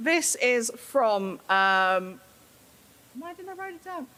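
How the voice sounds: A woman's fairly high, bright, sharp voice, slow in pace and full of big pitch swings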